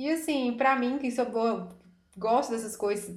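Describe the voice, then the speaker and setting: The woman talks at a fairly slow pace, her voice somewhat breathy. Room echo is audible. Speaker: podcast co-host. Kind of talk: casual chat.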